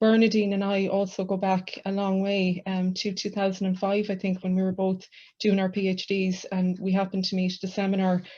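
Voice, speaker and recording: A woman with an Irish accent speaks at a fairly quick pace and medium pitch, in a dark, mellow, somewhat breathy tone. Her intonation is monotone and flat, over a quiet background. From west of Ireland. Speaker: university lecturer, book co-editor. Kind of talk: academic book launch presentation. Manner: hesitant, many fillers.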